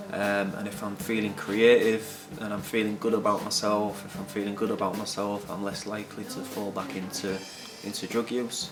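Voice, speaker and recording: Against noticeable background noise, a man talks at a moderate pace in a fairly low, monotone voice with flat intonation. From Hull, England. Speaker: recovering addict and guitar teacher. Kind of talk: interview answer.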